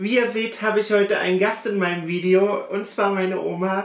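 Audible room echo surrounds a woman who speaks at a moderate pace in a monotone, flat intonation. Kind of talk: YouTube intro to camera. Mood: warm, cheerful. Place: home room. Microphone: camera far.

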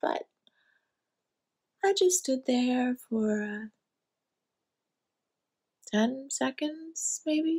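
A woman's put-on character voice, high and slightly mellow, very slow with long, frequent pauses and lively intonation

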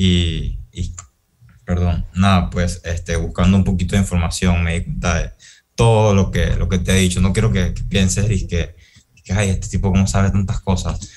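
The pace is moderate throughout. Intonation stays monotone and flat. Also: man, very deep, low pitch for a man. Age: 20s. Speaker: university student. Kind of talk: student presentation.

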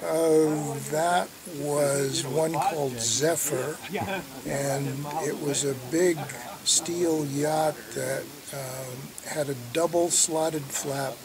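With noticeable background noise, a man talks at a very slow pace, leaving long, frequent pauses. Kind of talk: interview answer. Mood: relaxed, amused. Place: open country.

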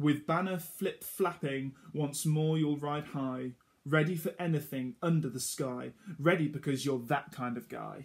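A man speaks in a warm, somewhat breathy voice with a sing-song delivery and fairly high pitch. His pace is fairly slow, over a quiet background. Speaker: storytime reader for children. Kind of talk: reading a children's picture book aloud. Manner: rhythmic, sing-song rhyming cadence, running lines together breathlessly; warm, gently encouraging storyteller tone. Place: home room. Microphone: phone near.

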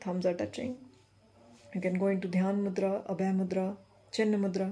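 A woman's somewhat breathy, dark, mellow voice at medium pitch, monotone and flat, at a moderate pace. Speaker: meditation guide. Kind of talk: guided meditation. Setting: recorded video for online viewers. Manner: gentle, instructive. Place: home room. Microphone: phone near.

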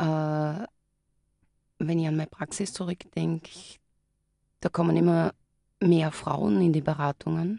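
In a dry, close recording with no echo, a woman with a very deep, low pitch and a dark, mellow tone uses ordinary pitch variation and leaves long, frequent pauses. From Styria, Austria. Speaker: clinical psychologist. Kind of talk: live radio interview. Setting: radio studio.

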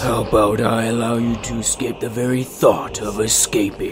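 Against clear background noise, a man talks at a moderate pace in a medium-pitched voice. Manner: mocking, playful.

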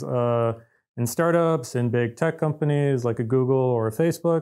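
Speaking at a moderate pace against a quiet background, a man with an American accent has a fairly high pitch, a dark, mellow tone and ordinary pitch variation. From US Midwest (Detroit). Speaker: engineer hosting company podcast. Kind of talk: casual chat. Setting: office. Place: office.

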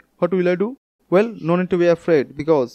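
The recording of this man is dry and close, with no echo, against a quiet background. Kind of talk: casual advice talk to camera.

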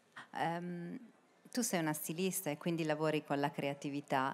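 A woman's very deep, low voice at a fairly slow pace, with ordinary pitch variation and light background noise. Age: 40s. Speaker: panel moderator. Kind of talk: panel moderation. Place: stage. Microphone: handheld.

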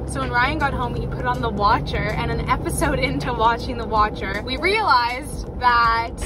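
Over noticeable background noise, a woman keeps a moderate pace and hardly any pauses. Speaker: vlogger. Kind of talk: casual vlog chat. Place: car. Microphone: phone near.

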